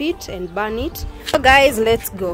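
A woman's voice with clear music in the background. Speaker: vlogger. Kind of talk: casual vlog chat. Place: garden. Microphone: phone near.

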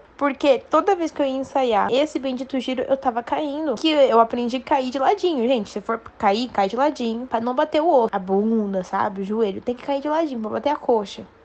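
A woman's high-pitched voice at a fairly quick pace, with lively intonation. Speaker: dancer telling a story. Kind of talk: personal anecdote, recorded audio.

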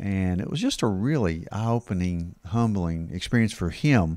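A man's very deep, low voice, dry with no echo, over a quiet background. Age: 60s. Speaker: family doctor, podcast host. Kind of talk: casual chat. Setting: studio. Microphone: handheld.

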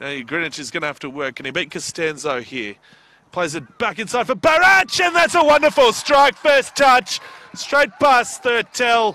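A man speaks in a raised, projected voice at a high pitch, with very wide pitch swings, big swings in loudness and a moderate pace. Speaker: football match commentator. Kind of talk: live sports commentary.

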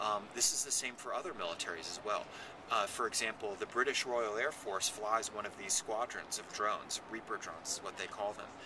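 A man speaks at a fairly quick pace. The sound is dry with no echo, though noticeable background noise is present. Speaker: author on military technology. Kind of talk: interview. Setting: public festival venue.

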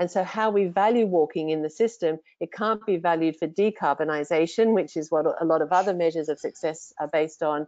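In a normal speaking voice, a woman talks at a fairly quick pace with hardly any pauses, a fairly low pitch and ordinary pitch variation. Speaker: walking advocacy organization CEO. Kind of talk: webinar presentation. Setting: video call.

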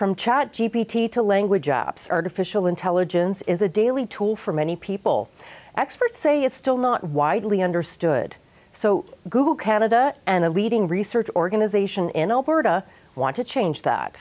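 Her intonation lively, the woman keeps a moderate pace throughout. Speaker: news reporter. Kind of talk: news report. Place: studio. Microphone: lapel.

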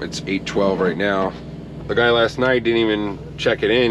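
The intonation stays fairly even against noticeable background noise. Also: man. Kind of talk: casual vlog chat. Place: car. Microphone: phone near.

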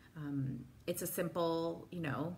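Light background noise sits behind a woman whose very deep, low voice has a gentle tone and a somewhat breathy quality. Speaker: wellness instructor. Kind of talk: guided meditation. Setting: live video call. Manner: calm, soft-spoken; slow, gentle, paced with pauses. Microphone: phone near.

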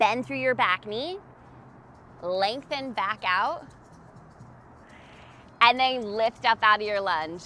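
Over music in the background, a woman speaks very slowly with long, frequent pauses and ordinary pitch variation. The sound is dry, with no echo. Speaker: fitness instructor. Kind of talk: workout class cueing. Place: street.

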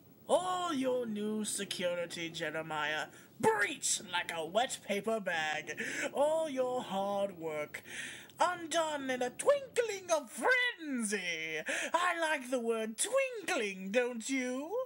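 A put-on character voice, fairly high in pitch, delivered at a very slow pace. It makes very wide pitch swings over clear background noise. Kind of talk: villain monologue. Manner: mocking, theatrical, rising to shouts.

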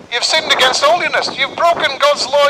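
A man speaks at an extremely high pitch with monotone, flat intonation over noticeable background noise. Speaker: street preacher. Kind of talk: sermon. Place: street.

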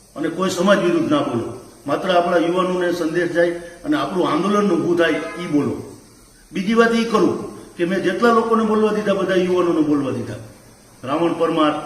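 A man's high-pitched voice with ordinary pitch variation, audible room echo and noticeable background noise. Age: 50s. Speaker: community activist. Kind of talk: public statement video.

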